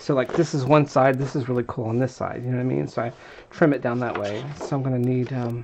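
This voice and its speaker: Mumbling from a man at a very fast pace, fairly even in intonation, over noticeable background noise. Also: medium pitch for a man. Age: 40s. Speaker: crafting video maker. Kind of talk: tutorial. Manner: casual, thinking aloud.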